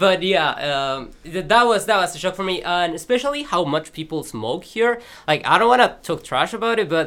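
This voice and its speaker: Someone with a Peruvian accent speaks at a moderate pace in a bright, sharp tone with very wide pitch swings, in a very clean recording with a silent background. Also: man, high pitch for a man. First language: Spanish. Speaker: student podcast member. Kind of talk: casual chat.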